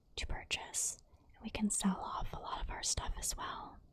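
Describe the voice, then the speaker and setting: Someone whispers at a fairly slow pace. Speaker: ASMR creator. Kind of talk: ASMR gameplay commentary. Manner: soft-spoken, whispered.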